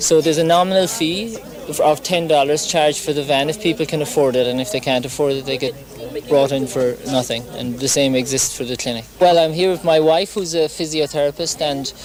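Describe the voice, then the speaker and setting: Against noticeable background noise, a man with an Irish accent talks at a fairly quick pace in a fairly high pitch. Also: ordinary pitch variation. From Ireland. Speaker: doctor. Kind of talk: interview. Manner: halting.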